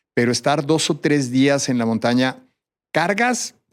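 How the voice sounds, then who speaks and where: A man's fairly slow speech on a very clean recording, the background silent. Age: 60s. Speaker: endurance athlete and mountaineer. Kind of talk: interview.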